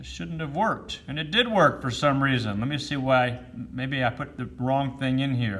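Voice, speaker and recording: Audible room echo surrounds a man of medium pitch who speaks at a moderate pace. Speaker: math teacher. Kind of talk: lecture.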